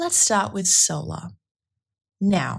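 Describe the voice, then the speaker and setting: A woman speaks with an Australian accent at a medium pitch. Her voice is somewhat breathy, on a very clean recording with a silent background. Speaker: researcher giving presentation. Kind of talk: scripted presentation for listening test.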